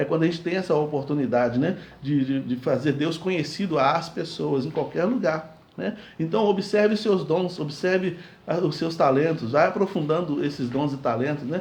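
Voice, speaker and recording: Audible room echo carries a man's fairly high voice, which shows ordinary pitch variation. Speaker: pastor. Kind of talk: sermon. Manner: fast.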